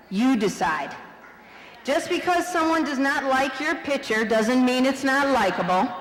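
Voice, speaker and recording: A woman speaks at a fairly slow pace in a high voice, her tone animated and her intonation lively, with very even loudness, audible room echo and noticeable background noise. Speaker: vice principal. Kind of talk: graduation speech. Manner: animated, loud.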